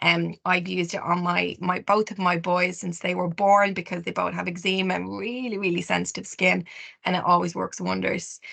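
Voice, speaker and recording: A woman speaks with an Irish accent. Her pace is fairly quick. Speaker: skincare specialist. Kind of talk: webinar presentation. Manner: fast.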